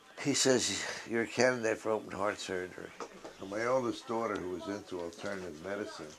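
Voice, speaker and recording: Against noticeable background noise, a man talks very fast at a fairly low pitch. His pitch variation is ordinary. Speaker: patient giving testimony. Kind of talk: testimony. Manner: casual conversational.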